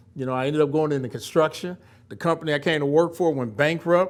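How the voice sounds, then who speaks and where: Here a man with an American accent has a fairly high pitch and ordinary pitch variation. The recording is very clean, with a silent background. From United States. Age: 60s. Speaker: construction company founder. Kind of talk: Q&A at a corporate event. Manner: animated.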